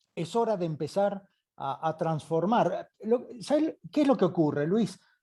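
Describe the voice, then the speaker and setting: This man's voice sits high and has lively intonation. He talks at a fairly slow pace. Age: 50s. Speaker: doctor, geriatrics specialist. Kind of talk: live online interview. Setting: live video call with headset.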